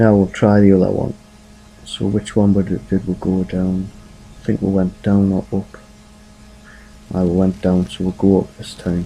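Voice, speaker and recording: A man talks at a moderate pace in a very deep, low voice with monotone, flat intonation. Noticeable background noise runs beneath him. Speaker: gaming video creator. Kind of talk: game walkthrough commentary. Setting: home at night. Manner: quiet, keeping voice down; casual, hesitant with fillers.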